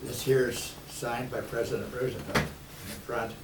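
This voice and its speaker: The speaker has an American accent. Audible room echo and noticeable background noise come through. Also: man. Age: 80s+. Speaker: war veteran. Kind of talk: talk to a school class. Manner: halting.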